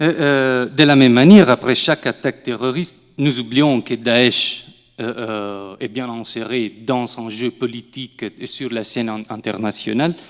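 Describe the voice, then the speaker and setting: A man speaks with an Italian accent at a medium pitch. His pace is fairly slow, with big swings in loudness. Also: ordinary pitch variation. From southern Italy. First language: Italian (speaking French). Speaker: researcher. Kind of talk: academic panel talk. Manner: halting, many fillers.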